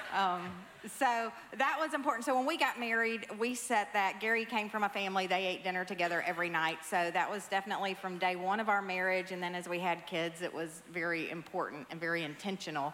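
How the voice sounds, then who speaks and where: Amid noticeable background noise and audible room echo, a woman speaks very fast at a medium pitch with ordinary pitch variation. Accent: Southern US. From US South. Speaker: pastor's wife. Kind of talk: church testimony. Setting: church stage.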